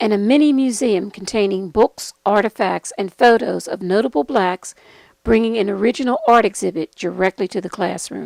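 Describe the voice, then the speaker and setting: An ordinary speaking voice: a woman at medium pitch with ordinary pitch variation, dry and close with no echo. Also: moderate pace. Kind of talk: program introduction narration.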